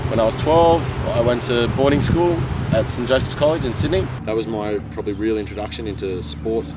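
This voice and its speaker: An Australian accent with noticeable background noise and audible room echo. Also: man. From Australia, rural New South Wales. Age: 20s. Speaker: vlogger. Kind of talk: personal testimony.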